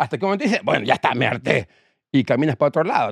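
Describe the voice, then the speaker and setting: A man's voice is heard with a dry, close sound and no echo. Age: 50s. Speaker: rock musician. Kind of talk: casual chat.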